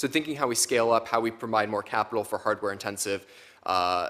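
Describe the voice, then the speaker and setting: A man's bright, sharp voice at a very fast pace, with ordinary pitch variation, on a very clean recording with a silent background. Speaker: expert witness. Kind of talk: testimony.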